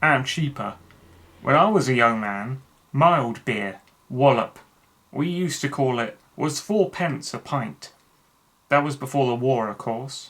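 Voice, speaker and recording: A gruff, put-on character voice from a man in a Cockney accent, medium in pitch, fairly slow, with long, frequent pauses. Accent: Cockney, dropped h's, ain't. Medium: read story. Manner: gruff, pugnacious.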